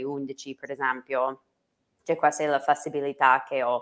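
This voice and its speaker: With an American accent, a woman speaks at a moderate pace in a very deep, low pitch. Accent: American English accent in Italian. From United States. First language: English (speaking Italian). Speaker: English teacher and social media entrepreneur. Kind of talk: interview. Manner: halting, many fillers.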